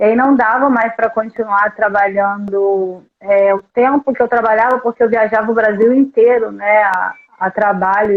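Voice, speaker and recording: A woman's fairly high voice at a moderate pace, a normal speaking voice. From Brazil, Volta Redonda (Rio de Janeiro state). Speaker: recruitment consultant. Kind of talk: podcast interview. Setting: live stream.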